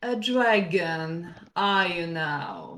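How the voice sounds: Putting on a character voice, a woman rumbles at a fairly low pitch.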